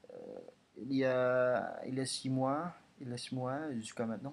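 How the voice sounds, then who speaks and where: A man's medium-pitched voice at a very slow pace. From Indonesia. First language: Indonesian (speaking French). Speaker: language learner vlogger. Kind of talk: language progress video monologue. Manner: halting, many hesitations and repetitions.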